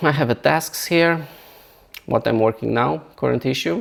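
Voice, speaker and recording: This man has a non-native accent. He speaks at a moderate pace. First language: not English. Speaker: software founder and novelist; engineer. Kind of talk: software tutorial walkthrough. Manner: halting, many repetitions and restarts.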